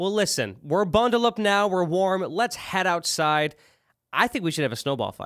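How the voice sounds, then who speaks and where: This man's voice has a high pitch and lively intonation. His pace is moderate. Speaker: podcast host. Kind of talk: casual banter, comedy skit.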